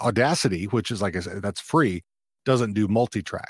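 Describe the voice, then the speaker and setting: In a normal speaking voice with an American accent, someone talks at a fairly quick pace with ordinary pitch variation on a very clean recording with a silent background. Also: man, dry, close sound with no echo. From Texas (Fort Worth, then rural Texas). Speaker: podcaster and army veteran. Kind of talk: casual interview chat. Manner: laughs often, relaxed.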